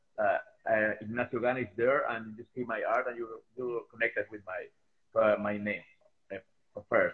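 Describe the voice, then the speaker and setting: A man with a Spanish accent talks at a moderate pace, with long, frequent pauses. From Chile. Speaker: sculptor. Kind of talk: interview. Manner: halting, frequent hesitations.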